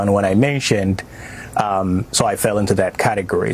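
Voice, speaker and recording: There is noticeable background noise. Over it, a man with a fairly low pitch talks at a fairly quick pace. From Somalia. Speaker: refugee and community critic. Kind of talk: TV news interview. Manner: hesitant, many fillers.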